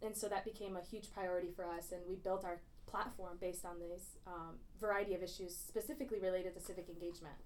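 A woman at medium pitch in an American accent, very fast in pace, fairly even in intonation, with audible room echo. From Michigan, Grand Blanc. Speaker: recent graduate and student activist. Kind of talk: casual interview.

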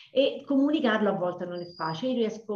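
Lively intonation from a woman, with audible room echo. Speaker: dance teacher. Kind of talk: interview. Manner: energetic; halting with fillers.

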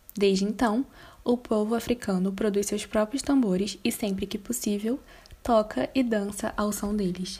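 A woman's somewhat breathy voice, fairly high in pitch with a dark, mellow tone, fairly slow and fairly even in intonation, on a very clean recording with a silent background. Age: young. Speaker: pedagogy student. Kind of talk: reading aloud.

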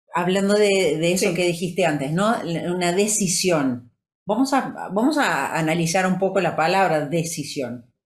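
With audible room echo, a woman speaks at a moderate pace in a fairly low pitch, with lively intonation and very even loudness. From Brazil. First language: Portuguese (speaking Spanish). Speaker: podcast co-host, wellness coach. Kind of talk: motivational talk.

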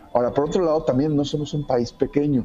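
Very fast speech from a man, with music in the background. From Mexico. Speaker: comic artist. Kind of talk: interview. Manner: hesitant, many fillers.

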